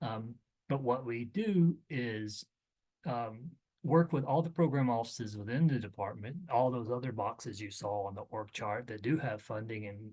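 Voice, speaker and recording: This voice has a dark, mellow tone, a somewhat breathy quality, ordinary pitch variation, a moderate pace and big swings in loudness. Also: man, medium pitch for a man. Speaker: government agency presenter. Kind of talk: webinar briefing presentation.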